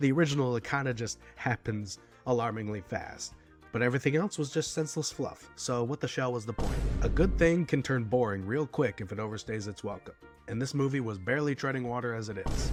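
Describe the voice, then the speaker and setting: With music in the background, a man speaks at medium pitch and a fairly quick pace. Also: ordinary pitch variation. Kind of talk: comedic movie review roast. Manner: sarcastic.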